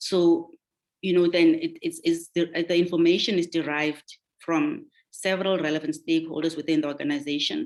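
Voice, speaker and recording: Fairly quick and monotone, a woman speaks with flat intonation at a fairly low pitch. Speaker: governance panelist. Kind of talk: webinar presentation. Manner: fast.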